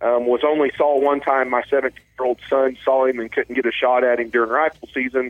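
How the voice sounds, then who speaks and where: Here a man with an Ozark accent talks at a moderate pace and a medium pitch. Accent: Ozark Southern US. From southwest Missouri, Ozarks. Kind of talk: casual interview.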